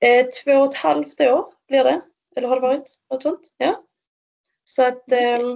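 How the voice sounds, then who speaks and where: Taking long, frequent pauses, a woman speaks at a fairly slow pace with a high pitch and lively intonation. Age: 30s. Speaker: para-triathlete. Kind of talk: interview.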